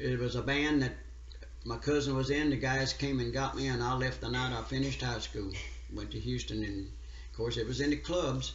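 A man with an American accent talks at a fairly quick pace. The room echo is audible, and there is light background noise. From US South, rural central Louisiana. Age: 80s+. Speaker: steel guitar player; interviewee. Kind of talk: interview; interview answer. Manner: halting. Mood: relaxed reminiscing. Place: hall. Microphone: phone near.

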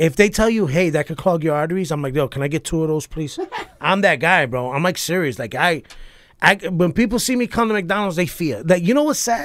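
A man with a New York accent speaks high-pitched and fairly quick. The sound is dry with no echo. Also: lively intonation. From New York, Puerto Rican family. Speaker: comedian and army veteran; podcast guest. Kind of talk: casual chat. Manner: animated. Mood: joking, animated. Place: studio. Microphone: studio mic.

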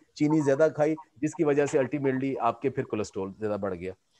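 Lively intonation marks a man's voice, heard as a dry sound with no echo. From Pakistan. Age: 60s. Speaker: agronomy professor. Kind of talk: webinar lecture. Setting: video call. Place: home room. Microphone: earbuds.

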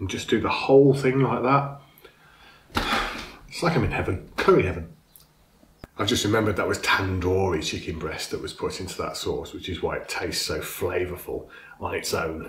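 Audible room echo surrounds the speech. The pace is moderate, with long, frequent pauses. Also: man. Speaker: food reviewer. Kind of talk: casual food review. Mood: enthusiastic, pleased. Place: home room.

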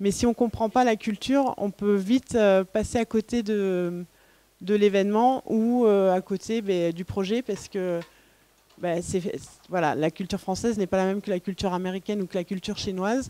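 A woman talks at a moderate pace with long, frequent pauses. The sound is dry, with no echo. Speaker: events agency co-founder. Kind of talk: conference talk. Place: classroom. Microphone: handheld.

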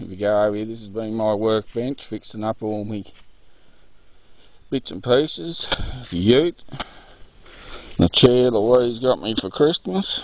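At a fairly slow pace, a man speaks with ordinary pitch variation, big swings in loudness and long, frequent pauses, in a dry sound with no echo. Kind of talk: casual vlog chat. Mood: relaxed, jokey. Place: open country. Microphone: phone near.

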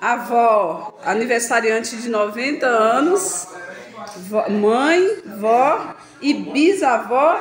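Over noticeable background noise, a woman speaks very slowly in a high voice, with very wide pitch swings and long, frequent pauses. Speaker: vlogger, daughter of the birthday woman. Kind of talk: casual vlog talk to camera. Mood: cheerful, festive. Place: kitchen. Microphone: phone near.

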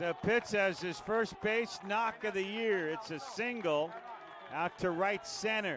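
Against noticeable background noise, a man with a high pitch speaks fairly slowly in an animated tone with ordinary pitch variation. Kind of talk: live play-by-play sports commentary. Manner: animated, rising excitement on big hits.

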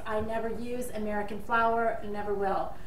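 With light background noise and audible room echo, a woman talks at a moderate pace. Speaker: home baking vlogger. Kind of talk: tutorial. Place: kitchen. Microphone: camera far.

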